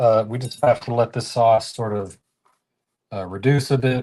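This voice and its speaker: At a moderate pace, a man with a slight Southern US accent speaks in a dark, mellow tone. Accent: mild Southern US. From US South, Tennessee. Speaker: cooking livestreamer. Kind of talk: live cooking stream chat. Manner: halting, many fillers.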